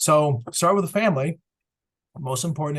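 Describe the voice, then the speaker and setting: Somewhat breathy, the speaker has an American accent, ordinary pitch variation and a moderate pace. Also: man. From Massachusetts, US Northeast. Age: 60s. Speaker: chemical industry executive. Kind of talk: webinar talk. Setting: online webinar. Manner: halting, many fillers.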